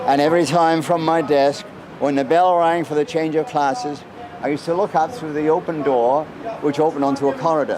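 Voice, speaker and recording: Noticeable noise sits in the background. The speech moves fairly quickly. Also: man, fairly high pitch for a man, ordinary pitch variation. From Wales. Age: 70s. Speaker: subway rider. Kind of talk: casual interview. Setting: subway station. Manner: hesitant with fillers; articulate, elaborate vocabulary.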